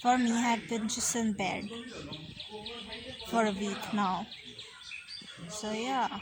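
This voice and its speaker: Against noticeable background noise and audible room echo, a woman with a fairly high pitch speaks at a very slow pace in a monotone, flat intonation, with long, frequent pauses. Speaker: vlogger. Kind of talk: casual vlog chat. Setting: outdoors at a picnic.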